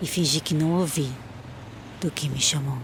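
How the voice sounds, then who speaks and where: Amid noticeable background noise, a woman speaks in a monotone, flat way at a very deep, low pitch and a fairly slow pace. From Brazil. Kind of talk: poetic film voice-over.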